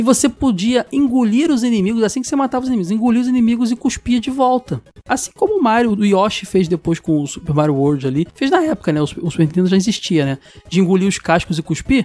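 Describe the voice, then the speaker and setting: Very rapid delivery with huge swings in pitch over noticeable background noise. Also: man, high pitch for a man. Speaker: podcast host. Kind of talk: casual chat.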